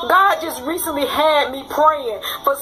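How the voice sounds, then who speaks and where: A woman with a high pitch speaks in a raised, projected voice with an animated tone and ordinary pitch variation. There is audible room echo and noticeable background noise. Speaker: author and relationship coach. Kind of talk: personal vlog reflection.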